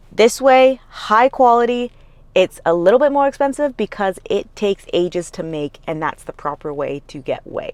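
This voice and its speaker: A woman's animated, fairly high voice with very wide pitch swings and big swings in loudness, at a moderate pace, in a dry, close sound with no echo. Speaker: fitness youtuber and coach. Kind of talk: vlog with casual talk to camera.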